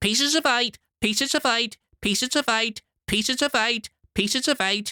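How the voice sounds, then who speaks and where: This is a put-on character voice pitched fairly high. It comes out shrill and robotic. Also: moderate pace. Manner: repetitive, mechanical.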